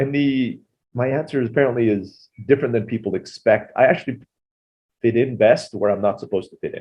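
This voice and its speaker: Fairly quick, somewhat breathy speech in an American accent. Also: man, medium pitch for a man, ordinary pitch variation, big swings in loudness. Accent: sounds American. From Turkey (Istanbul), international school. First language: Turkish (also Tagalog early). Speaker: entrepreneur. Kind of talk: podcast interview.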